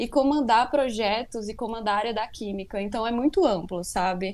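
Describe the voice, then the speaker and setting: Here a woman has an unremarkable speaking voice, fairly high in pitch with ordinary pitch variation. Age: 20s. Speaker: chemistry student. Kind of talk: interview.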